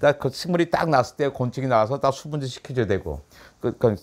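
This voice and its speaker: Very fast speech with vocal fry. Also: man. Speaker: science author. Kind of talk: conversational interview. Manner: animated.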